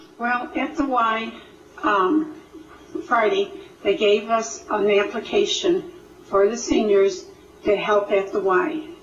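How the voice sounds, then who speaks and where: A woman's high voice at a very slow pace, with very wide pitch swings, long, frequent pauses, audible room echo and noticeable background noise. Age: 70s. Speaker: audience member. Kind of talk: community discussion.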